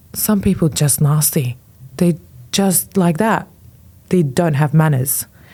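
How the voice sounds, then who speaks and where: A woman's very deep, low voice, dark and mellow in tone, with a non-native accent and ordinary pitch variation, on a very clean recording with a silent background. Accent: foreign. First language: not English. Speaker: fashion influencer. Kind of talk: podcast interview. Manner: hesitant, many fillers.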